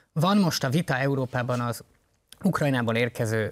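Medium pitch from a man, with ordinary variation in pitch. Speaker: party co-leader, politician. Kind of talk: political interview.

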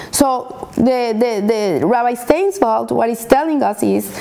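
A woman at a fairly high pitch and fairly slow pace, with ordinary pitch variation and noticeable background noise. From Colombia. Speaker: Torah teacher. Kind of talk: weekly Torah lesson.

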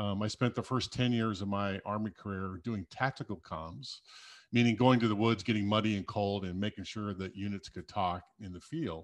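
A man with an unremarkable speaking voice talks at a moderate pace, with a fairly low pitch and ordinary pitch variation. The background is quiet. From US Midwest, South Dakota. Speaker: cybersecurity executive and military veteran. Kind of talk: casual interview.

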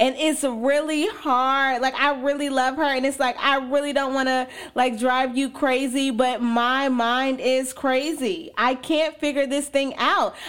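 On a very clean recording with a silent background, a woman speaks at a fairly slow pace in a high voice. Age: 20s. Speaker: podcast host. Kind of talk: casual chat. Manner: casual, filler-heavy.

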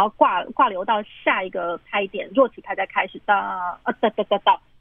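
The speaker is a woman at a medium pitch. She keeps a moderate pace with ordinary pitch variation. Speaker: pianist. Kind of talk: interview about classical music. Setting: phone call. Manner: hesitant, many fillers. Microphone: phone recording.

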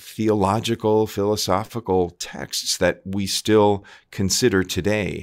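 A man with an American accent, fairly low pitch and fairly even intonation at a very slow pace, in a very clean recording with a silent background. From US Northeast (Long Island, New York). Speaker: Jesuit priest and theater professor. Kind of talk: interview conversation. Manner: thoughtful with frequent fillers.

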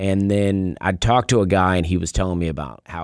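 A man with an Alabama accent speaks in a very deep, low pitch, captured on a very clean recording with a silent background. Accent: Southern US (Alabama). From US South, Opelika, Alabama. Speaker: stand-up comedian. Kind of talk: casual chat; stand-up. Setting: radio studio.

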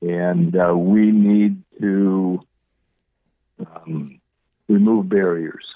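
At a very slow pace with long, frequent pauses, a man speaks in a very deep, low pitch and monotone, flat intonation. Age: 70s. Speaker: patient advocate, parent. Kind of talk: interview. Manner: hesitant, many fillers.

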